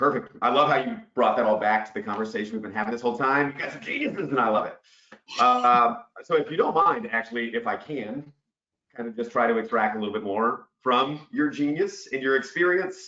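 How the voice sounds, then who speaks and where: With ordinary pitch variation, the words go by at a fairly quick pace. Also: man, medium pitch for a man. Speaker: webinar host, business development director. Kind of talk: webinar panel discussion. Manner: loud and boisterous.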